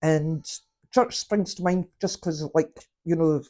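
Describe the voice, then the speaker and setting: A woman with a Scottish accent, fairly low in pitch and fairly slow, on a very clean recording with a silent background. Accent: Scottish (Fife). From Scotland, Fife. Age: 50s. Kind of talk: tarot reading, casual talk to camera. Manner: halting.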